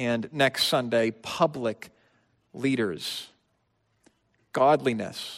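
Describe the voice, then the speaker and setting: A man speaks at a very slow pace with ordinary pitch variation. The recording is very clean, the background silent. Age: 30s. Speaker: pastor. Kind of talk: sermon.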